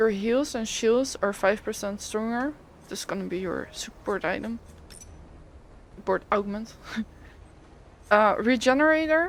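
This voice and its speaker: A woman speaks with a non-native accent, her pitch fairly high and her intonation lively. She talks at a fairly slow pace, leaving long, frequent pauses. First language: not English. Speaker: gaming content creator. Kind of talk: tutorial. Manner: casual, hesitant.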